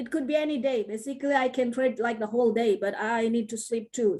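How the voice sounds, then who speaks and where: She speaks with a non-native accent. Her pitch varies in an ordinary way. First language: not English. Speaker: trading teacher. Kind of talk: online class Q&A. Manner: sounds like teaching a kid.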